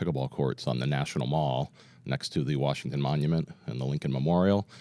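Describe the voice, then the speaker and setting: Very deep, low pitch from a man, with ordinary pitch variation. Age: 50s. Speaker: roofer and pickleball group founder. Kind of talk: casual interview chat. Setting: studio.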